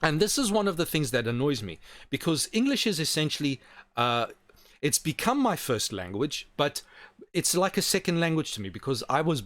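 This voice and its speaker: At a moderate pace, a man talks with vocal fry and a fairly high pitch. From South Africa. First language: Portuguese. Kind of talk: online teaching talk. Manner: halting.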